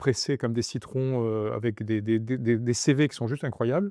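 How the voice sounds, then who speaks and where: A man speaks at a moderate pace with a medium pitch and a dark, mellow tone. His intonation stays fairly even, and the sound is dry and close with no echo against a quiet background. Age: 60s. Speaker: business transfer consultant. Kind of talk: interview. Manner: halting, many fillers and repetitions.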